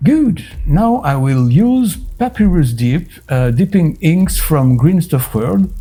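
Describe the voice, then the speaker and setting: Very slow speech in a French accent, with a dark, mellow tone, very wide pitch swings and very even loudness. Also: man, fairly high pitch for a man. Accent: typically French. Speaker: miniature painting youtuber. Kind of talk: tutorial.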